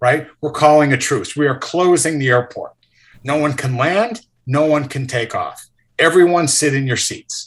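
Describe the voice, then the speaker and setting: A man's somewhat breathy, fairly high voice at a moderate pace. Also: ordinary pitch variation. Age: 60s. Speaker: ex-hedge fund manager. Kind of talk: interview. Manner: animated.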